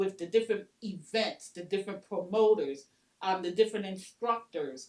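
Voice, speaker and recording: Ordinary pitch variation in an unremarkable speaking voice. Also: woman. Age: 60s. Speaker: soul line dancer. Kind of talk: oral history interview. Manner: casual, conversational.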